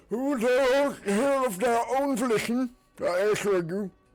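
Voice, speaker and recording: A croaky, bellowing put-on character voice at a moderate pace with ordinary pitch variation, over faint music in the background. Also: man, extremely high pitch for a man. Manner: bellowing, welcoming.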